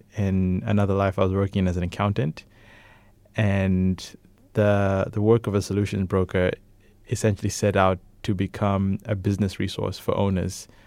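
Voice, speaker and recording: On a very clean recording with a silent background, a man with a fairly low pitch talks at a moderate pace in a monotone, flat intonation. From Malawi. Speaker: self-employed professional. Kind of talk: casual chat. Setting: studio.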